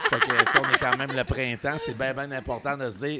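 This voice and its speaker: This man speaks at a fairly high pitch. There is noticeable background noise. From New Brunswick, Canada. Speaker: podcast co-host. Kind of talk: casual chat.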